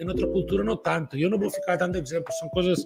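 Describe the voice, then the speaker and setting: With music playing in the background, a man speaks in a high pitch. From Catalonia, Barcelona. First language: Catalan/Spanish (speaking Portuguese). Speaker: company founder and CEO. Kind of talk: casual talk to camera. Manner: halting, repeats words.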